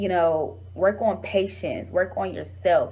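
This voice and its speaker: There is audible room echo in this recording. The speaker is a woman with an American accent. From Detroit, Michigan, US. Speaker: talk show host and vlogger. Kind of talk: vlog, motivational testimony. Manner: fast; animated.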